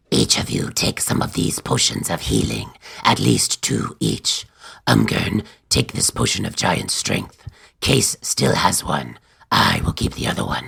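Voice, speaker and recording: A man's put-on character voice, very deep and low in pitch, at a fairly slow pace with fairly even intonation. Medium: audio drama.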